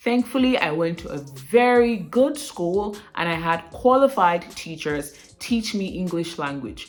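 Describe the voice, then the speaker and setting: At a fairly slow pace and medium pitch, a woman speaks with hardly any pauses, her voice showing very wide pitch swings and big swings in loudness. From Nigeria, Edo State (Benin). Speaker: aspiring broadcaster, accent coach vlogger. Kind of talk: vlog talk to camera. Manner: clear careful enunciation.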